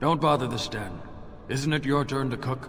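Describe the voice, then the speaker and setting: Over clear background noise, a man puts on a character voice at a medium pitch and a moderate pace. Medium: video game. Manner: dry, sardonic.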